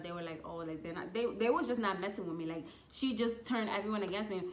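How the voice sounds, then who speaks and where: Over noticeable background noise and audible room echo, a woman talks at a very fast pace with a medium pitch and ordinary pitch variation. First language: not English. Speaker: YouTuber. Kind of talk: casual storytelling. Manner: animated.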